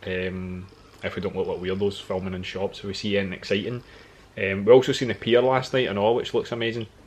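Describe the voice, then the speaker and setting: Fairly low in pitch, a man speaks with a Scottish accent. His pace is fairly quick and his intonation fairly even. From Scotland. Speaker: travel vlogger. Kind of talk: casual chat.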